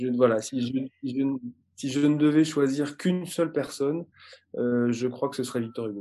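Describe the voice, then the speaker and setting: A man's dark, mellow, medium-pitched voice at a moderate pace, fairly even in intonation, with long, frequent pauses. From France. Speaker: communications executive. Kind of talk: interview conversation. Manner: halting, frequent repetitions.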